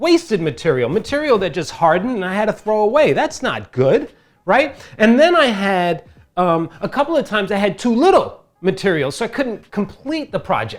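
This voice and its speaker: The recording is very clean, with a silent background. A man with a high pitch sounds animated, his pitch swinging very widely. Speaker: DIY crafts tutorial maker. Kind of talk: tutorial. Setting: wearing a face mask while talking.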